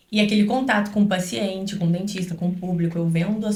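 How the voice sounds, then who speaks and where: A woman talking at a fairly quick pace in a monotone, flat intonation, with audible room echo. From Brazil, Rio then Minas Gerais (Juiz de Fora). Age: 20s. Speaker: dentist. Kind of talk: podcast interview.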